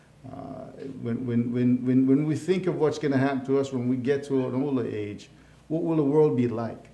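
An American-accented man talks at a moderate pace with fairly even intonation, and room echo is audible. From Jamaica (Hanover, western parishes). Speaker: county mayor. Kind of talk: casual interview. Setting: live online show. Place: studio.

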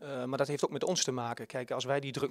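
A man with a Twente accent talks at a very fast pace and medium pitch, with monotone, flat intonation and a dry sound with no echo. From Twente, eastern Netherlands; Netherlands. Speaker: youth football coach. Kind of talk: interview. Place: hall. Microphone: handheld.

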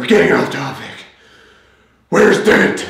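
A man talks in a raspy, high-pitched, put-on character voice at a moderate pace. There is clear echo around him. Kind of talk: comic parody. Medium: comedy sketch. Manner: terse, gruff. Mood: defensive then stern.

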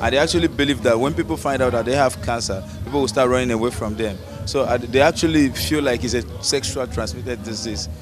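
The pace is very fast as a man speaks. Music comes through clearly behind him. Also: dry sound with no echo. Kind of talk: interview answer. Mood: earnest, warm. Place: street. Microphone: handheld.

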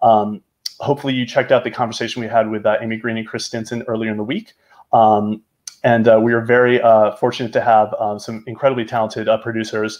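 The man talks at a very fast pace in a monotone, flat intonation. The background is quiet. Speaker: film festival director. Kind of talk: event introduction. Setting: video call. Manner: halting. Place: home room. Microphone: webcam.

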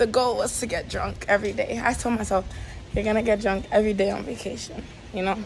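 The speech comes at a moderate pace over music in the background. The sound is dry, with no echo. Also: woman. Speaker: vlogger. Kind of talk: casual vlog chat. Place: street. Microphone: phone near.

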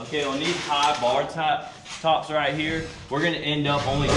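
A man speaks over loud background noise. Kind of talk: tutorial. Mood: casual, relaxed. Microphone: camera far.

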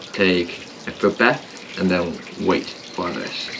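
Noticeable noise is present in the background. A man does the talking. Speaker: vlogger. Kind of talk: casual vlog chat. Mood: relaxed. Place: waterside. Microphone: camera far.

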